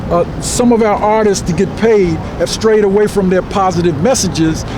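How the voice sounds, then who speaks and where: This man talks at a fairly quick clip with ordinary pitch variation, over noticeable background noise and audible room echo. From Washington, D.C. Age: 70s. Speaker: community activist. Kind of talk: interview.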